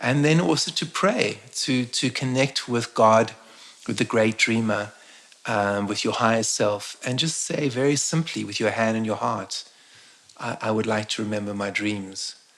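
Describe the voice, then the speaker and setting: Noticeable background noise sits under a man's voice of medium pitch. He speaks fairly slowly with ordinary pitch variation. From South Africa, Eastern Cape. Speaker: shaman and spiritual teacher. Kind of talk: interview on a live stream. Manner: halting, frequent word repetitions.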